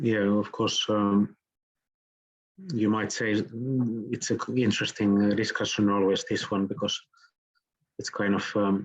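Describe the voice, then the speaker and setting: A man with a Finnish accent, fairly low pitch, fairly slow pace, fairly even intonation and long, frequent pauses. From southern Finland. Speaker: architect and professor. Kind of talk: lecture Q&A. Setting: online lecture.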